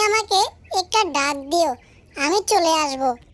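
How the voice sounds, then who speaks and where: A cartoonish character voice pitched extremely high. It moves at a fairly slow pace. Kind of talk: cartoon storytelling voice. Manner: proud and friendly.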